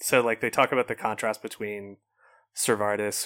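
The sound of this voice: The delivery is an unforced reading voice. The background is quiet.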